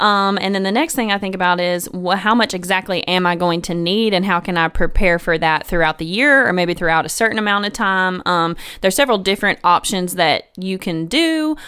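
A woman with a Tennessee accent speaks at a fairly quick pace and a medium pitch, with ordinary pitch variation and hardly any pauses. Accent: Southern American (Tennessee). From US South, Memphis, Tennessee. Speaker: financial counselor. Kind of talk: casual chat.

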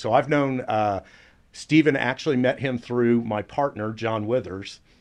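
Here is a man with an American accent and a normal speaking voice. His pitch is medium, with ordinary pitch variation. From Dallas, Texas. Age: 50s. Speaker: family law attorney and podcast host. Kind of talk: casual interview chat.

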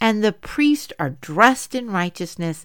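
The recording is very clean, with a silent background. A woman speaks at medium pitch. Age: 50s. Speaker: women's Bible study podcast host. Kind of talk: Bible teaching monologue.

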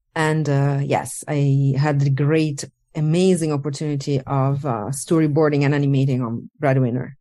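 A woman speaks with a very deep, low pitch and a dark, mellow tone. Her intonation stays fairly even. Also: moderate pace. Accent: Italian. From Italy. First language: Italian. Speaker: animator. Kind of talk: interview. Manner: halting.

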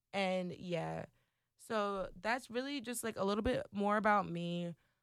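On a very clean recording with a silent background, a woman speaks in an American accent. Her pitch is medium, with ordinary variation. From Trenton, New Jersey, US. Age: 20s. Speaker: radio station worker and new podcaster. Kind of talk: casual solo podcast intro chat, slangy. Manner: animated, chatty, informal slang.

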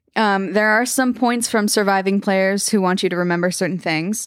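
At a moderate pace, a woman speaks in a normal speaking voice of medium pitch with ordinary pitch variation. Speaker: podcast co-host telling the story. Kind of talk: bedtime ghost story telling, reading out the game's rules. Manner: playful, breaking into laughter and joking with co-hosts.

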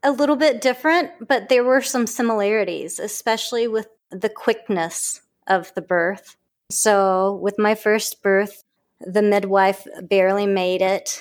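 On a very clean recording with a silent background, a woman with a Southern US accent speaks at a fairly slow pace and medium pitch with ordinary pitch variation. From US South, southern Mississippi. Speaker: acupuncturist and yoga teacher. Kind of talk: interview.

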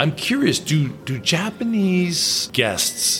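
A man's pitch swings very widely as noticeable background noise carries on behind him. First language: not English. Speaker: podcast host. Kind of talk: casual interview. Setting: in-person recording, socially distanced.

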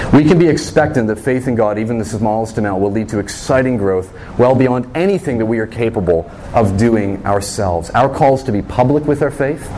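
A man speaks fairly quickly with lively intonation, with audible room echo and noticeable background noise. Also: medium pitch for a man. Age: 30s. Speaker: pastor. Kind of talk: sermon.

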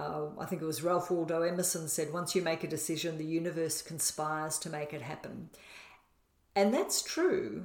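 Speaking in an Australian accent, a woman keeps a moderate pace and fairly even intonation, her fairly low voice showing vocal fry. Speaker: podcast co-host, spiritual manifestation teacher. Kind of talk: casual conversational teaching.

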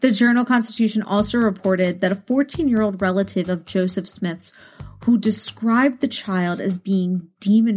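Speaking at a moderate pace, a woman with a medium pitch sounds somewhat breathy and shows ordinary pitch variation. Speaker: true crime podcast host. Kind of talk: true-crime narration. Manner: grave, measured, clinical; even, steady reading of facts.

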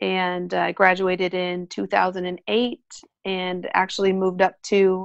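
Against a quiet background, a woman speaks at a medium pitch in a General American accent. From Colorado. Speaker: orthodontist. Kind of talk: interview.

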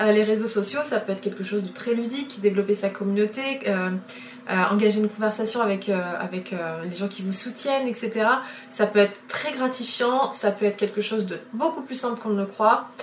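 A woman's fairly high voice, with ordinary pitch variation, moves at a moderate pace through noticeable background noise. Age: 30s. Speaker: illustrator and podcast host. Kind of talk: solo podcast monologue. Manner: hesitant, frequent fillers and repetitions.

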